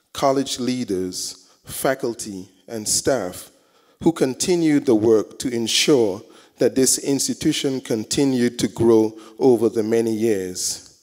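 The speech comes at a very slow pace with ordinary pitch variation. The background is quiet. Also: man. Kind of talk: prayer. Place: hall. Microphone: handheld.

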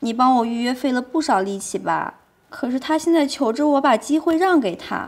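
This woman's pitch is high. She talks at a fairly slow pace. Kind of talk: scripted drama dialogue. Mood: sly, teasing, bargaining.

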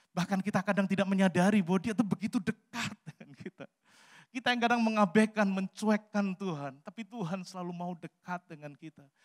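A man's high voice at a fairly quick pace over a quiet background. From Central Java, Salatiga; Central Java, Indonesia. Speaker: pastor; pastor preaching. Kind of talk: sermon. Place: church. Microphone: handheld.

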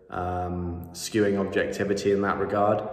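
A man's fairly low, monotone voice with flat intonation at a moderate pace, with audible room echo. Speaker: sports commentator vlogger. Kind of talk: commentary. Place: home room. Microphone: phone near.

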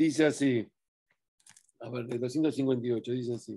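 Quiet surrounds a male speaker as he talks. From Argentina. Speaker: religious teacher. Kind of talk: Torah study talk. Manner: halting. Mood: calm, warm, encouraging. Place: home room. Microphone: webcam.

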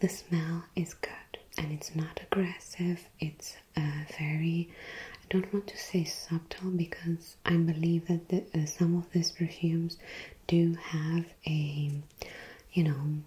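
Very slow in pace, a woman speaks in a monotone, flat intonation. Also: fairly low pitch for a woman. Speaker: perfume reviewer. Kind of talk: casual review talk.

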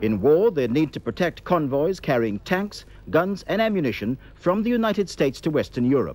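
The sound is dry with no echo, with light background noise behind a man. His pitch swings very widely as he talks at a fairly quick pace. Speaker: newsreader. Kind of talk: news reading. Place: studio.

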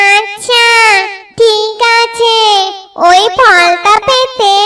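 A female-sounding, cartoonish character voice. Her pitch is extremely high. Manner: menacing.

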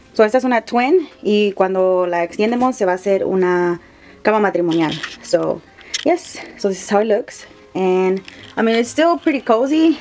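At a fairly slow pace, a woman speaks over faint music in the background. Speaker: vlogger showing bus home. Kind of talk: casual vlog chat. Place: bus. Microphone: phone near.

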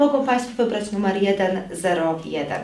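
Audible room echo and noticeable background noise surround a woman speaking with ordinary pitch variation. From Poland. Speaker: police officer. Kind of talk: public information appeal. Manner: hesitant, many fillers.

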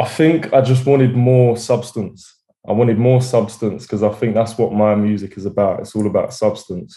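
Fairly even in intonation, a man speaks with an Essex accent in a dark, mellow tone. The background is quiet. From England, Essex. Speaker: rapper. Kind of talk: interview. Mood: relaxed, smiling. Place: home room. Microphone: video call.

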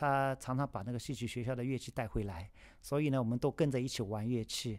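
On a very clean recording with a silent background, a normal speaking voice goes at a fairly quick pace and shows ordinary pitch variation. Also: man. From China, Shanghai. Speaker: yangqin musician. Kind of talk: personal storytelling.

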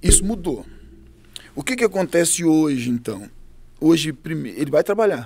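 At a moderate pace, a man swings his pitch very widely and takes long, frequent pauses. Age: 40s. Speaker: pastor. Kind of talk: interview. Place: studio. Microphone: studio mic.

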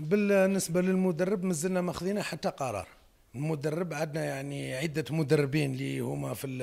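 A man talks at a fairly slow pace and fairly high pitch, with ordinary pitch variation. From Algeria. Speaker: football club president. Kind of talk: press statement. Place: hall. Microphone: handheld.

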